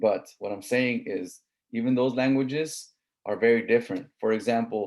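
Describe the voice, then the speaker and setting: With a Southern California accent, a man speaks at a medium pitch. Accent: Southern Californian English. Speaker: college instructor. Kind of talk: lecture. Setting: online class with screen share. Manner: casual, conversational.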